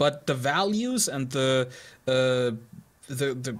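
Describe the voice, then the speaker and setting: Very wide pitch swings from a male speaker, with music playing behind him. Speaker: gaming streamer. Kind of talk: political rant while playing. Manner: stuttery.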